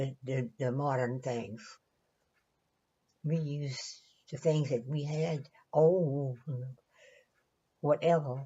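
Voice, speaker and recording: Speaking in a Louisiana accent at a very slow pace, a woman with a very deep, low, somewhat breathy voice keeps her intonation fairly even and leaves long, frequent pauses. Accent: Southern US (Louisiana). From Louisiana, Southern US. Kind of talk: interview answer.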